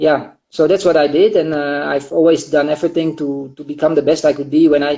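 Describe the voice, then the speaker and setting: At a fairly quick pace with hardly any pauses, a man talks in a monotone, flat intonation at a fairly high pitch. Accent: Dutch. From Netherlands. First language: Dutch. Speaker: marathon runner and running coach. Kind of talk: interview. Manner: hesitant, many fillers.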